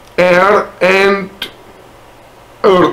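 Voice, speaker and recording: A non-native accent against noticeable background noise. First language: not English. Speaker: spiritual content creator. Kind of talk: product review. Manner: halting.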